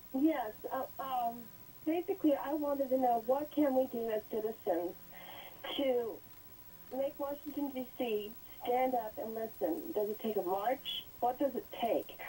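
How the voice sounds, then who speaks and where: Over noticeable background noise, a woman talks at a fairly slow pace in a high pitch with lively intonation. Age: 60s. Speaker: caller. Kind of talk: call-in question on TV.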